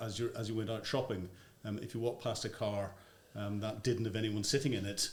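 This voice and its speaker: Somewhat breathy, a man with a Northern Irish accent speaks at a fairly low pitch and a fairly quick pace in a monotone, flat intonation. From Northern Ireland. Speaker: former army officer. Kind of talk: interview answer.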